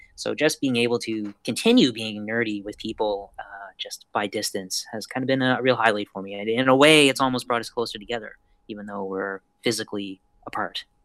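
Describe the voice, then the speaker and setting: A man speaks with a Canadian accent in an unremarkable speaking voice, at medium pitch and a fairly quick pace. His intonation stays fairly even while his loudness swings widely, and the sound is dry and close with no echo. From Canada. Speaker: podcast guest. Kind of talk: casual chat.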